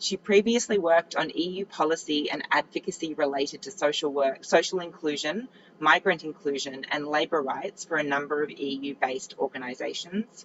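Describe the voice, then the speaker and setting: A woman's very deep, low voice in an Australian accent, fairly quick with hardly any pauses and ordinary pitch variation, over noticeable background noise. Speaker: panel moderator. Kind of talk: panel moderation.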